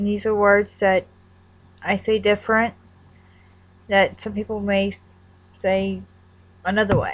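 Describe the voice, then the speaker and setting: A woman with a Northern Kentucky accent speaks at a fairly slow pace. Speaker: vlogger. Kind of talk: accent tag vlog. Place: home room. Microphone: webcam.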